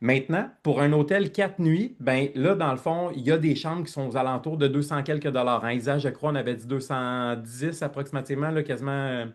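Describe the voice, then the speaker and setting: A man speaks at a moderate pace with fairly high pitch. His pitch varies in an ordinary way, with hardly any pauses. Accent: Quebec. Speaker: network marketing team leader. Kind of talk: online presentation. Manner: loud; animated.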